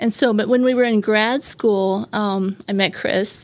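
With an American accent, a woman speaks at a fairly high pitch and a fairly slow pace. She has a normal speaking voice with ordinary pitch variation. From Brazil, raised by American missionary parents. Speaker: missionary. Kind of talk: interview. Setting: studio.

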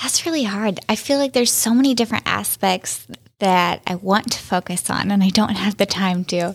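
A woman talks at a moderate pace with an unremarkable speaking voice. Her pitch is medium, with ordinary pitch variation. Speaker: podcast host. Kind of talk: podcast interview.

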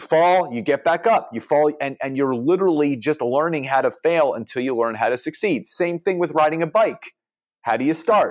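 A man with an American accent in a normal speaking voice, fairly high in pitch, at a moderate pace with ordinary pitch variation, against a quiet background. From Philadelphia, Pennsylvania. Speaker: entrepreneur and business coach. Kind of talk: podcast interview.

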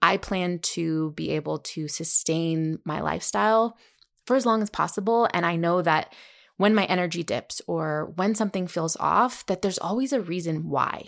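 A woman at a moderate pace, fairly low in pitch, animated in tone, with ordinary pitch variation and a very clean recording over a silent background. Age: 30s. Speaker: wellness podcast host and health coach. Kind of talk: solo podcast monologue.

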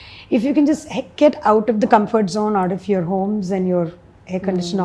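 A woman with an Indian accent speaks at medium pitch in a dark, mellow tone that is somewhat breathy, with ordinary pitch variation. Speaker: social entrepreneur. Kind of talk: interview.

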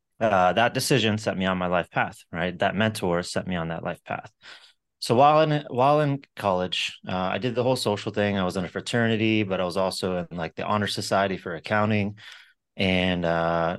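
Speaking fairly quickly in a plain, everyday voice, a man with an American accent talks at a fairly low pitch with ordinary pitch variation. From Florida (Sarasota). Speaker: entrepreneur. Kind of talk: interview. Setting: podcast recording.

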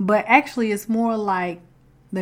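A woman with a Southern US accent and fairly even intonation. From US South. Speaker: podcast host. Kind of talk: inspirational faith talk. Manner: casual, conversational.

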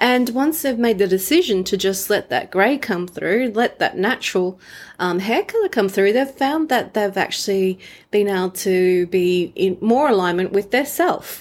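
A woman's plain, everyday voice at medium pitch, with lively intonation, very even loudness and a moderate pace, on a very clean recording with a silent background. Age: 40s. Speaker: relationships podcast host. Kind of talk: solo podcast talk.

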